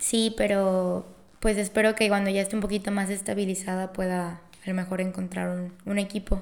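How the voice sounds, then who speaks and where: A woman speaks with a Mexican accent at a moderate pace. Her intonation stays monotone and flat. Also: medium pitch for a woman. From Mexico, Colima. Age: 20s. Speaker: student and intern. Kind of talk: casual interview chat.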